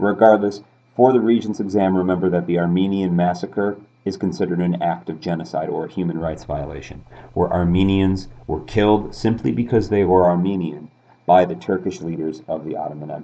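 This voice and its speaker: Fairly quick male speech with a very deep, low pitch. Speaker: high school history teacher. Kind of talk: exam review tutorial. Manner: fast; casual, upbeat.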